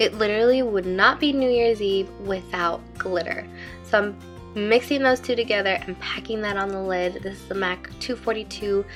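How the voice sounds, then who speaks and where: A woman speaks at a moderate pace over music in the background. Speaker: makeup artist, beauty vlogger. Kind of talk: makeup tutorial voiceover. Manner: casual, chatty.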